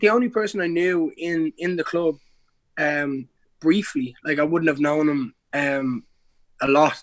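Speaking in a Dublin accent, a man uses a fairly high pitch with ordinary pitch variation at a fairly slow pace. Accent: Irish (Dublin). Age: 20s. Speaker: MMA fighter. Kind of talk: casual chat.

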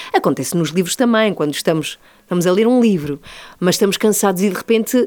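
Woman at a very fast pace with ordinary pitch variation. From born in Madrid, Spain; moved to Lisbon at 14. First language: Spanish (speaking Portuguese). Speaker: radio host. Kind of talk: interview, casual chat.

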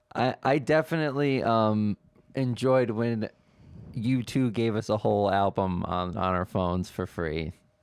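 With a plain, everyday voice, a man speaks at a moderate pace, his fairly low pitch showing ordinary pitch variation. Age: 20s. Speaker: podcast host. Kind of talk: casual chat. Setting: studio.

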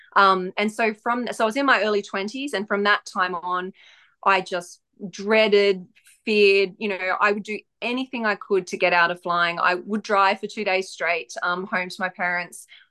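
A woman talks with an Australian accent, bright and sharp in tone with fairly even intonation. The sound is dry and close with no echo, and the background is quiet. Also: medium pitch for a woman, moderate pace. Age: 40s. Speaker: author and former nervous flyer. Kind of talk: casual interview.

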